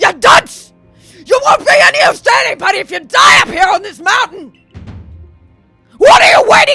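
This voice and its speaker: An extremely high put-on character voice speaks at a moderate pace with long, frequent pauses. Faint music plays in the background. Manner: harsh, scolding, urgent.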